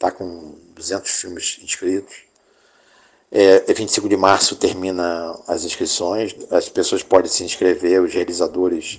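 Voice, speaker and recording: A man talks very slowly, the background around him quiet. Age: 60. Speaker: filmmaker and producer. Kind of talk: interview. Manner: halting.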